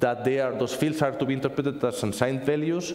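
A man is speaking. Audible room echo surrounds his voice. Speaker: conference speaker, software developer; conference speaker. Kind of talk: technical conference talk. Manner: fast; halting, repeats words. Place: classroom.

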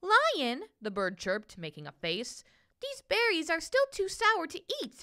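A woman uses a raised, projected voice with very wide pitch swings. The background is quiet. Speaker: voice actor. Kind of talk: children's picture book reading. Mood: gentle, warm storytelling. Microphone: phone near.

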